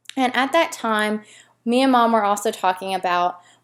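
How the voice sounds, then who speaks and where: Speaking at a fairly quick pace with a Tennessee accent, a woman uses a fairly high pitch with ordinary variation, on a very clean recording with a silent background. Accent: Southern US (Tennessee). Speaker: fitness blogger and coach. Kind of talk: casual tutorial to camera.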